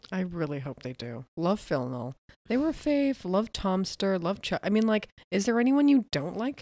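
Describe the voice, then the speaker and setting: A woman speaks at a medium pitch with a dark, mellow tone and very wide pitch swings. Her pace is moderate, on a very clean recording with a silent background. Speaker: podcast co-host. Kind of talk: casual chat. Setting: studio. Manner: soft-spoken.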